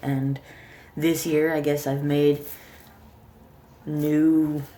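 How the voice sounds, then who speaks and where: A very slow, monotone woman's voice, very deep and low in pitch, with a dark, mellow tone and flat intonation. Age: 30s. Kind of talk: casual talk to camera. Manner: stuttering, hesitant.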